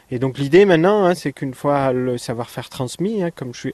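A man's fairly high voice with ordinary pitch variation, in a dry, close sound with no echo and a quiet background. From France, Ariège. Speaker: theme park creator. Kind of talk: radio interview. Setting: on location outdoors at the park. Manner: halting, many hesitations.

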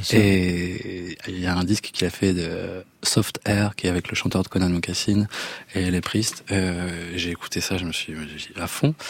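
Over noticeable background noise, a man talks fairly slowly in a very deep, low voice with fairly even intonation. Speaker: singer. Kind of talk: casual chat. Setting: studio. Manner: halting.

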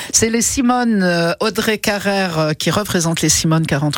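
A woman is the speaker. She uses lively intonation. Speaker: radio host. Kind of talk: casual chat. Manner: animated.

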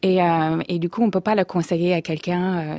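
Her tone dark and mellow, a woman speaks at a fairly low pitch in a flat monotone. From US Midwest, Minnesota. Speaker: meditation coach and author. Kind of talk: radio interview. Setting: radio studio. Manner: halting.

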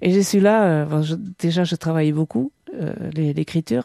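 Her voice is very deep and low, with a dark, mellow tone, ordinary pitch variation and a moderate pace, in a dry, close sound with no echo over a quiet background. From French Basque Country, Soule. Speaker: poet and novelist. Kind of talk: interview. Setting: home office. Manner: hesitant.

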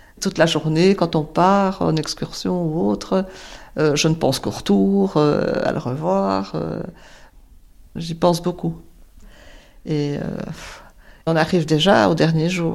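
On a very clean recording with a silent background, a woman with a very deep, low pitch speaks at a very slow pace, her pitch swinging very widely, with long, frequent pauses. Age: 60s. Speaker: widow sharing personal story. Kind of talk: personal testimony.

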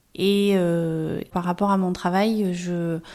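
Speaking very slowly at a medium pitch, a woman is heard on a very clean recording with a silent background. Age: 40s. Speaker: family caregiver and social worker. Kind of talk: testimony.

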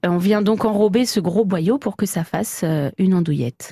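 With a dry, close sound and no echo, a woman speaks at a medium pitch and a moderate pace, with ordinary pitch variation. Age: 30s. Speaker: farmer and butcher. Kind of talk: radio interview.

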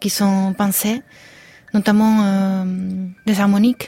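A woman's somewhat breathy, medium-pitched voice with a dark, mellow tone, monotone, flat intonation, and a fairly slow pace. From Spain. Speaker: composer and musician. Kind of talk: radio interview. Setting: studio. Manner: halting.

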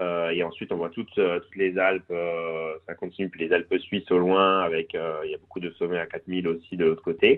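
A man speaks at a moderate pace with a very deep, low, monotone voice and hardly any pauses. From Corsica (Cervione). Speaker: business professional, cross-border commuter. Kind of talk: radio interview. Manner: halting, many hesitations.

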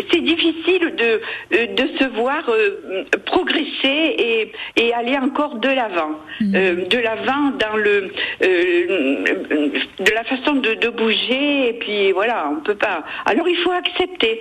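The voice moves through very wide pitch swings at a very slow pace, with very even loudness. Noticeable background noise sits behind it. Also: woman, fairly high pitch for a woman. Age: 80s+. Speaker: caller. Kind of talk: phone-in testimony.

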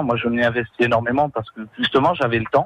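With ordinary pitch variation and a medium pitch, a man talks very fast in a dry, close sound with no echo. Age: 20s. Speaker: charity volunteer. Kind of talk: radio testimony.

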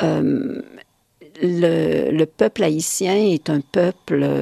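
Very slow and dark, mellow in tone, a woman's very deep, low voice comes through a dry, close sound with no echo. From Quebec. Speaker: poet. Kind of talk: interview.

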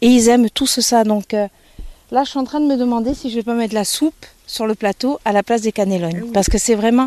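A woman speaks at a fairly quick pace with a dark, mellow tone and fairly high pitch. Her pitch variation is ordinary, and the sound is dry and close with no echo. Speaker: farm inn cook. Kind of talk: casual interview while cooking. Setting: farm inn kitchen and garden.

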